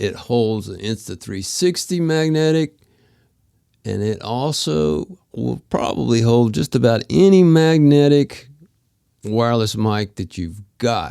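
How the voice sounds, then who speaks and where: Speaking very slowly with an American accent, a man uses a dark, mellow tone at a medium pitch, with very wide pitch swings. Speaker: photographer and product maker. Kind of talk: tutorial. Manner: casual.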